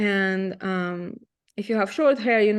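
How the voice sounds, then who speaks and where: In a quiet background, a woman with a Russian accent speaks at a fairly slow pace, her medium pitch showing ordinary variation. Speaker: photographer. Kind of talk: presentation. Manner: halting.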